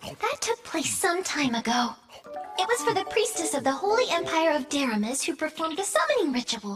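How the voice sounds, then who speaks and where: A put-on character voice moves at a fairly quick pace with very wide pitch swings while music plays clearly in the background. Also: female-sounding voice, extremely high pitch for a woman. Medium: fan dub. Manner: playful, dramatic.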